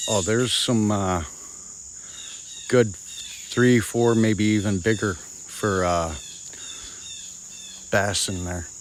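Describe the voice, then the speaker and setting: A man with an American accent talks very slowly and quietly, at a fairly low pitch with ordinary pitch variation and long, frequent pauses. Audible room echo and noticeable background noise surround his voice. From Rochester, New York. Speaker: livestreamer. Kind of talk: casual live stream chat. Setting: outdoors on a pond and fields. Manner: quieter to avoid scaring deer.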